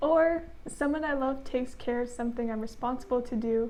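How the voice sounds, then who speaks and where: A soft-spoken woman with a high pitch talks at a fairly quick pace with fairly even intonation, with audible room echo around her. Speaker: channel co-host, student. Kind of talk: casual chat.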